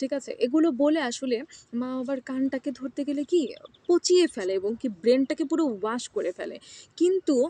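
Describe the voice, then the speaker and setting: Her intonation is lively and her pitch is high. She is a woman speaking with a Bangladeshi accent. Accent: Bangladeshi Bengali. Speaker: international student vlogger. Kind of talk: personal vlog monologue. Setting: outdoors in a campus garden. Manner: halting with pauses.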